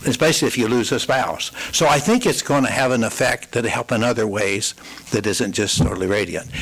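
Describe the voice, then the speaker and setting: A man speaks at a moderate pace with a medium pitch and ordinary pitch variation. Noticeable background noise runs behind him. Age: 70s. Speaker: elderly resident speaking at public comment. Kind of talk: public comment at council meeting. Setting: city council meeting.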